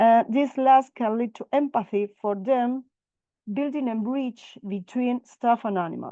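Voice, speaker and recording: A woman speaks at a fairly slow pace with a fairly high pitch and ordinary pitch variation, in a non-native accent. The sound is dry and close with no echo, over a quiet background. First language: not English. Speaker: veterinary researcher presenter. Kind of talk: webinar presentation. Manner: halting.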